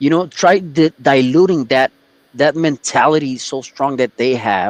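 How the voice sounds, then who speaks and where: Heard in dry, close sound with no echo, a man with an American accent has an unremarkable speaking voice, fairly high in pitch with lively intonation. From Texas. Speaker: podcast guest. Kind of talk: casual chat.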